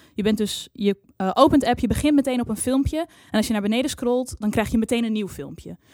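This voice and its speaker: A woman with fairly high pitch talks at a fairly quick pace with hardly any pauses. Her pitch varies in an ordinary way, and she has a plain, everyday voice. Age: 20s. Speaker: music journalist and radio producer. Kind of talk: casual chat. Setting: studio.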